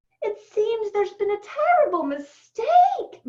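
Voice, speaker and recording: Putting on a character voice, a woman squeaks at an extremely high pitch with lively intonation. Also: fairly slow pace. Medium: read story.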